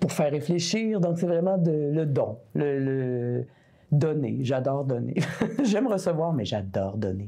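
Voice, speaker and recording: Speaking fairly slowly in a Quebec accent, a woman with a very deep, low voice makes very wide pitch swings while keeping her loudness very even. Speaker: singer-songwriter. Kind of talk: interview answer.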